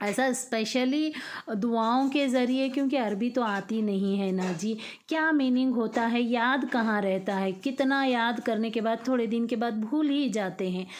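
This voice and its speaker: In audible room echo, a woman speaks at a fairly high pitch with very even loudness. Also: ordinary pitch variation. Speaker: home vlogger, mother. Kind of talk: casual vlog talk. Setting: at home, early morning. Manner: conversational, hesitant fillers.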